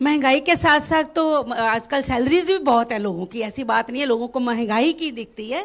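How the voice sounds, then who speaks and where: A woman talks at a high pitch with hardly any pauses. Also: lively intonation, moderate pace. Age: 60s. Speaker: voter interviewed on street. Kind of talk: vox pop interview.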